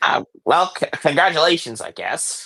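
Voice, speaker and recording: A man's put-on character voice, high-pitched, in a dry, close sound with no echo. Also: moderate pace. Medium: actual play. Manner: easily offended, curt.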